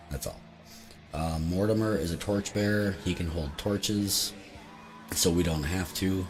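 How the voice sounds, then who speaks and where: A man speaks with music in the background. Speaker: tabletop game streamer. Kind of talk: solo game playthrough and rules explanation. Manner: casual, hesitant with many fillers.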